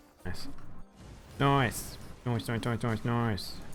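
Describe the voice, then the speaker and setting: A nasal, put-on character voice. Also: man, medium pitch for a man. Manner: repetitive, playful.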